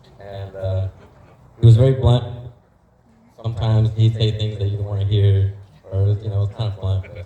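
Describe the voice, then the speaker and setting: Monotone, flat intonation over noticeable background noise. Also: man. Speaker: employee giving eulogy. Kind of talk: eulogy. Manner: halting, possible stutter.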